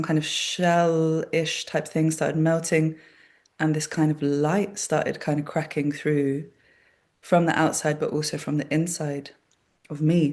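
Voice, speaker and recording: A woman speaks in a very deep, low voice with monotone, flat intonation. Her pace is fairly slow against a quiet background. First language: Polish. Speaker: body worker and workshop facilitator. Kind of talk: casual conversation. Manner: hesitant, many fillers.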